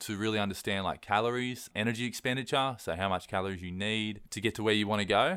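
On a very clean recording with a silent background, a man speaks with an Australian accent at a fairly quick pace. His pitch is fairly low, with ordinary pitch variation. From east coast Australia. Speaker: online personal trainer. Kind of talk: casual interview.

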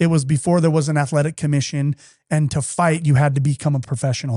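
Recorded with a dry, close sound and no echo, the voice is somewhat breathy with a dark, mellow tone and runs at a very fast pace. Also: man. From Utah. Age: 40s. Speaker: company executive. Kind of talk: casual chat. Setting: studio.

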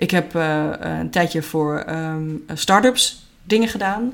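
Her fairly low voice makes very wide pitch swings as this woman speaks. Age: 40s. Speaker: creativity trainer and entrepreneur. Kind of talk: interview. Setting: at a kitchen table in a private home. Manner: halting, many fillers.

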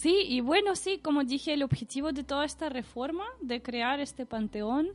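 A woman is speaking. She has a Russian accent. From Russia, Saint Petersburg. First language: Russian (speaking Spanish). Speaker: podcast listener guest. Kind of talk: casual chat.

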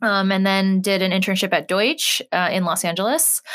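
Speaking in an American accent, this woman uses a mid-range pitch and a bright, sharp tone. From California. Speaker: advertising strategist and platform founder. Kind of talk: interview. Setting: studio.

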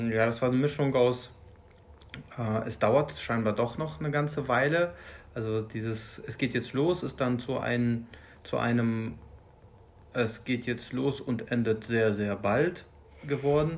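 A man talks at a fairly slow pace with long, frequent pauses. His pitch is medium, with ordinary variation. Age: 30s. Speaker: new father. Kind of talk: casual interview. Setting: sitting next to host. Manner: halting.

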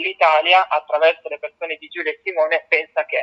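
At a fairly quick pace, a man speaks with a bright, sharp tone in a dry, close sound with no echo. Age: 20s. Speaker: youth delegate to the United Nations. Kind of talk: interview.

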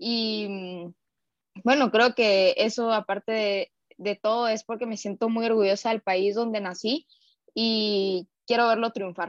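Speaking very slowly with a Guatemalan accent, a woman with a fairly high pitch keeps a fairly even intonation, the sound dry and close with no echo. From Guatemala, Guatemala City. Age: 20s. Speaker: racquetball player. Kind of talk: interview.

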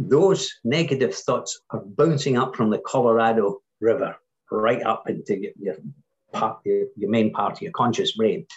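The man talks in a somewhat breathy voice that makes very wide pitch swings. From Scotland. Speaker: entrepreneur and workshop speaker. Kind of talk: podcast interview.

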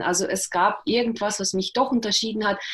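Fairly high-pitched and somewhat breathy, the voice of a woman. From Russia (Karelia), moved to Germany at 11. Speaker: author and journalist. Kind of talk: interview, personal life story. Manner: hesitant, many fillers.

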